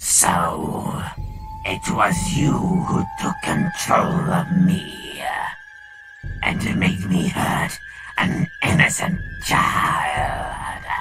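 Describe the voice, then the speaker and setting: Clear background noise sits under a man's raspy, put-on character voice. He speaks very slowly, with long, frequent pauses. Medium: dub. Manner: angry, menacing.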